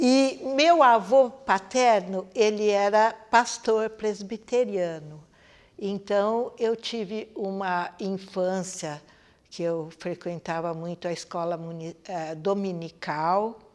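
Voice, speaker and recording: A woman's medium-pitched voice at a very slow pace, with ordinary pitch variation and big swings in loudness. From Brazil, Campinas, São Paulo state. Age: 70s. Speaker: dancer. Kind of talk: interview testimony. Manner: halting, with frequent fillers.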